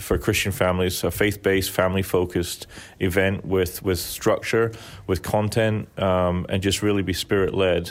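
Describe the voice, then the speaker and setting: Very deep and low in pitch, a man with a Scottish accent speaks with monotone, flat intonation and very even loudness. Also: moderate pace. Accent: mild Scottish. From Scotland. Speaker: event organizer. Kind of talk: interview. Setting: in a church.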